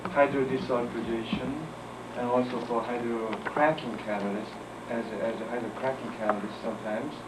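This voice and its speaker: A man speaks with a Korean accent. Noticeable background noise and audible room echo fill the recording. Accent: non-native English, Korean. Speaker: chemistry professor. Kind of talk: lecture. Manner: halting.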